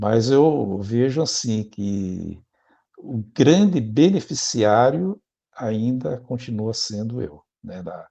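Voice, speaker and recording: The voice is dark and mellow with lively intonation and big swings in loudness, at a very slow pace. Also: man, medium pitch for a man. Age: 60s. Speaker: spiritist speaker and prison letter volunteer. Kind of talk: interview conversation. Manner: halting, with self-corrections.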